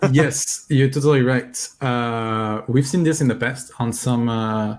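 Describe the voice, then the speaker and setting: In a French accent, a man speaks at a medium pitch. His pace is fairly slow and his intonation fairly even. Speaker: software company representative. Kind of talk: live coding stream tutorial.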